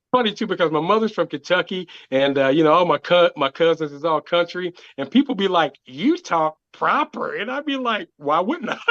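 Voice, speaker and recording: A man speaks at a moderate pace with hardly any pauses. His high voice has lively intonation and a dry, close sound with no echo. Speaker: comedian. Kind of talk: casual chat. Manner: articulate, proper speech.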